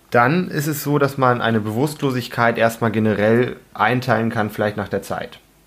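Here a man with a medium pitch uses an ordinary speaking voice, fairly even intonation and a moderate pace. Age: 20s. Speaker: anaesthetist and first aid instructor. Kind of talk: educational podcast discussion.

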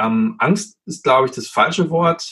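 A man speaks with lively intonation. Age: 30s. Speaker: anesthetist and emergency doctor. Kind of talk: casual interview. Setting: remote recording from home office.

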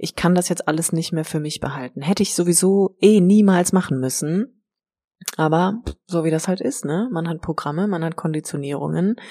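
On a very clean recording with a silent background, a woman speaks in a fairly low voice with a dark, mellow tone. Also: ordinary pitch variation, moderate pace. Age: 30s. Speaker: life coach and yoga teacher. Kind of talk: personal monologue. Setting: empty house being cleared. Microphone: echo in the room.

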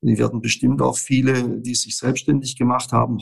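In a flat monotone, a man speaks at a medium pitch and a moderate pace. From Stuttgart area, Swabia. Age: 60s. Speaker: business consultant. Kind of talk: interview. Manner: halting, many filler words.

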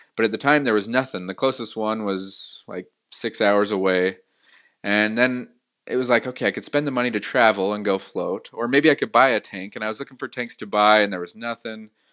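A man with an American accent speaks at medium pitch in an unremarkable speaking voice. His pace is fairly quick and his intonation fairly even. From Utah, US (Salt Lake City). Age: 30s. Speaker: entrepreneur. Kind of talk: interview.

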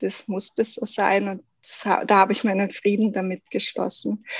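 A woman speaks at a fairly slow pace with a fairly high pitch and a somewhat breathy voice, in a dry, close sound with no echo. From South Tyrol, Italy. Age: 30s. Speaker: goldsmith. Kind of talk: podcast interview.

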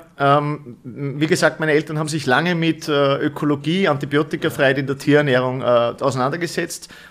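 With an unremarkable speaking voice and a fairly high pitch, a man talks at a fairly quick pace with fairly even intonation and hardly any pauses. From Upper Austria. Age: 30s. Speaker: company managing director. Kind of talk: interview. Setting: studio.

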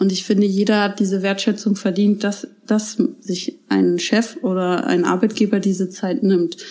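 A woman's fairly even intonation and medium pitch come through noticeable background noise as she speaks at a moderate pace. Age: 30s. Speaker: daycare centre director. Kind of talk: interview. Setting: at her daycare centre.

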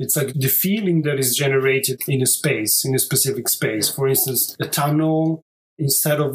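Moderate-paced male speech at medium pitch, somewhat breathy, with an Italian accent. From southern Italy. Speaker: architect. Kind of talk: interview.

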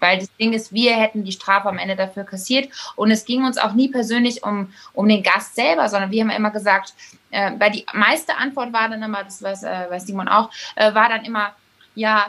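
The voice has a bright, sharp tone, fairly even intonation and a moderate pace. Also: woman. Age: young. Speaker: innkeeper.

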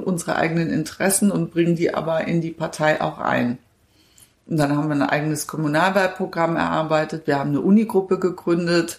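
With fairly even intonation and a fairly quick pace, this is an ordinary speaking voice. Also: woman. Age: 50s. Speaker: politician. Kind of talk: interview.

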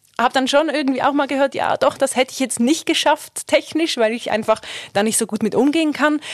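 A woman with a Swiss German accent, in a dry, close sound with no echo. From Switzerland. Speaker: radio journalist and reportage student. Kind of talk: casual chat. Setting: studio.

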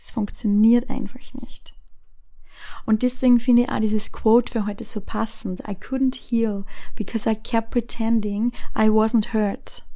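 Speaking at a fairly slow pace, a woman with a fairly high pitch delivers her words in a flat monotone with a dark, mellow tone. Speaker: podcast host. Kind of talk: personal monologue. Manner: hesitant with filler sounds.

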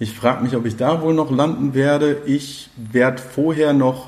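Over noticeable background noise, a man speaks at a very slow pace in a medium pitch with ordinary pitch variation. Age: 30s. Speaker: community radio host. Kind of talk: casual interview chat. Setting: café / on location.

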